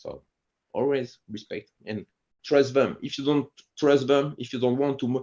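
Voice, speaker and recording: A man speaks at a medium pitch with a French accent. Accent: French accent in English, Franglish. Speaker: martial arts instructor. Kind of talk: interview conversation. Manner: halting, frequent restarts and fillers.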